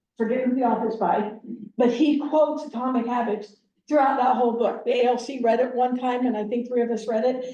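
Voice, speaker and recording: A woman with an American accent speaks high for a woman, in a dark, mellow tone with ordinary pitch variation. Her pace is fairly quick, and the room echo is audible. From Wyoming, US. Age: 60s. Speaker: productivity coach. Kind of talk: motivational talk. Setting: team meeting, partly on Zoom.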